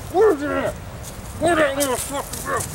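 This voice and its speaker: Over loud background noise, a man performs a put-on character voice. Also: moderate pace. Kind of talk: comic overacting. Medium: comedy sketch. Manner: loud, crude, repetitive.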